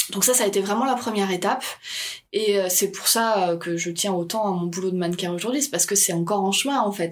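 A woman's plain, everyday voice at medium pitch, moving at a fairly quick pace. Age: 30s. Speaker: model and comic artist. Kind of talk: casual interview.

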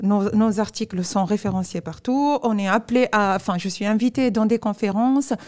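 In a dark, mellow tone, a woman speaks at a moderate pace with a fairly high pitch and ordinary pitch variation. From Tunisia. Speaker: professor and startup founder. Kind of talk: interview. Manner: hesitant.

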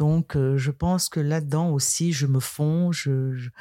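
With a calm, dark and mellow tone, a woman speaks at a very deep, low pitch. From Cameroon, western region. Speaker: karate practitioner. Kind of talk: interview.

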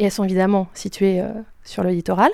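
Against a silent background on a very clean recording, a woman speaks in a dark, mellow tone. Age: 30s. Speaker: hydraulic engineer. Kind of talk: interview.

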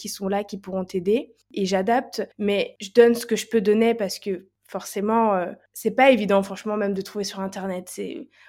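A woman speaks at a fairly slow pace with fairly high pitch and fairly even intonation. Her tone is dark and mellow, on a very clean recording with a silent background. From France. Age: 20s. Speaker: holistic coach. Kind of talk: testimony.

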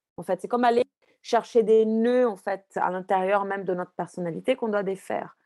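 Speaking fairly quickly, a woman uses a dark, mellow tone at medium pitch with fairly even intonation, in a dry, close sound with no echo. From Brazil. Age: 40s. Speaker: astrologer and author. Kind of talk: interview. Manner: halting, many fillers and repetitions.

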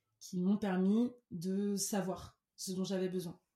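A woman with a medium pitch and a dark, mellow, somewhat breathy tone speaks at a very slow pace. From Cameroon. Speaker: singer-songwriter. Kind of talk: interview.

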